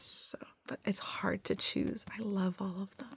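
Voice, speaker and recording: Over noticeable background noise, a soft-spoken voice talks at a moderate pace. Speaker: ASMR creator, book hauler. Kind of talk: ASMR book haul talk to camera.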